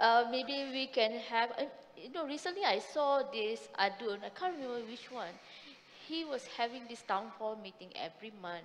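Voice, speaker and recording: A woman with a Malaysian accent talks at a moderate pace and a fairly high pitch, her pitch swinging very widely. Her loudness swings a lot too, with noticeable background noise behind her. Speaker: human rights activist. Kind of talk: panel discussion. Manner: hesitant.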